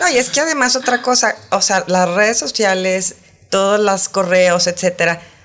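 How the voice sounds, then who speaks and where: Lively intonation marks an ordinary speaking voice moving at a moderate pace. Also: woman. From Saltillo, northern Mexico. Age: 50s. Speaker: sex columnist and educator. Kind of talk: casual interview chat. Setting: studio.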